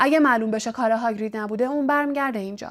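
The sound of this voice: The delivery is an unforced reading voice. Pitch varies in an ordinary way.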